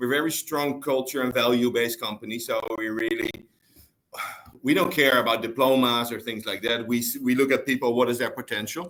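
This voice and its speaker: A man speaks with a Dutch accent and fairly even intonation. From Netherlands. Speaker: store manager. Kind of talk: interview.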